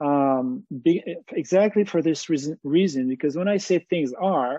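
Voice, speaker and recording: This man has a fairly high pitch, ordinary pitch variation, and a French accent. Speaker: activist thinker on economy and society. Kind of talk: interview. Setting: live video webinar. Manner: halting, many fillers.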